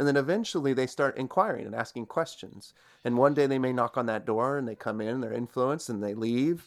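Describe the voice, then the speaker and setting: In an unremarkable speaking voice of medium pitch, a man goes at a fairly quick pace with ordinary pitch variation on a very clean recording with a silent background. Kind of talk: casual interview chat.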